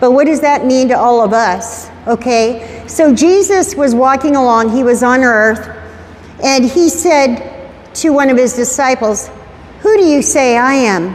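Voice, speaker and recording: With a high pitch and lively intonation, a woman talks at a fairly slow pace and very even loudness, amid noticeable background noise and audible room echo. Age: 70s. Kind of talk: talk to teenagers at youth group. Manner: conversational.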